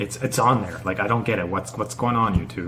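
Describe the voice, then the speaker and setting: A man with a Canadian accent speaks with ordinary pitch variation over noticeable background noise and audible room echo. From Canada. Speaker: YouTuber, teacher in China. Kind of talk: casual vlog monologue. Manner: halting, stuttering.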